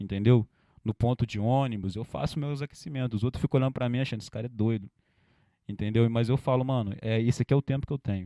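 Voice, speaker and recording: A man talks at a very fast pace with a medium pitch. His tone is dark and mellow, and his pitch variation is ordinary. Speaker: rapper. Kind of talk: interview. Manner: animated.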